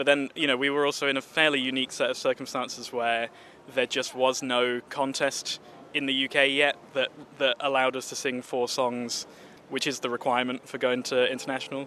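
This man talks at a fairly quick pace with a medium pitch. His intonation stays monotone and flat over noticeable background noise. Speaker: barbershop quartet lead singer. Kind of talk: casual interview.

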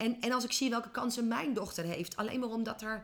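A woman's animated, fairly high voice at a fairly quick pace. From Netherlands, small village. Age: 40s. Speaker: business coach. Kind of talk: interview. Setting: office.

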